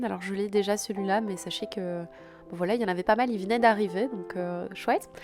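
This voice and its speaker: A woman's fairly even intonation with music in the background. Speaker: houseplant content creator. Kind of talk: casual vlog voice-over.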